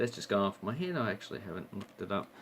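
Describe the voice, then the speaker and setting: A man with an Australian accent speaks with lively intonation. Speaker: coin and banknote collector YouTuber. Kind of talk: casual show-and-tell video. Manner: hesitant, with filler words.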